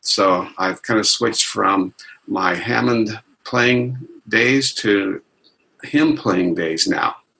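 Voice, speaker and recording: A man's fairly low voice in a General American accent, at a very slow pace, with ordinary pitch variation and very even loudness. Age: 70s. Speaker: retired amateur church organist. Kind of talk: interview.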